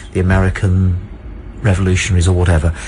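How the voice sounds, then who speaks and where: In a British accent, a man with a very deep, low pitch talks very fast in a pompous tone over noticeable background noise. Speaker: radio phone-in show host. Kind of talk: radio phone-in banter, debate with caller. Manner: emphatic, talks over the caller, pompous.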